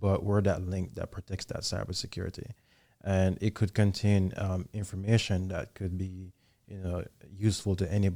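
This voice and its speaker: A man's very deep, low voice, dark and mellow in tone, at a fairly quick pace. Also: very clean recording, silent background. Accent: Jamaican. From Jamaica, Kingston. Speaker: army soldier, intelligence analyst. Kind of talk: podcast interview.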